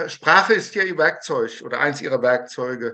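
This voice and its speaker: Lively intonation marks a man speaking at a moderate pace. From Germany (Taunus, Hesse); Hesse. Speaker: conductor, audience member; audience member. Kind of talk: audience question. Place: home room. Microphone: video call.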